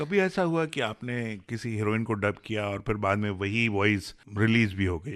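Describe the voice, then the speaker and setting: Against a quiet background, a man in a normal speaking voice talks at a fairly low pitch with hardly any pauses. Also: ordinary pitch variation. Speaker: radio host, dubbing director. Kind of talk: radio interview.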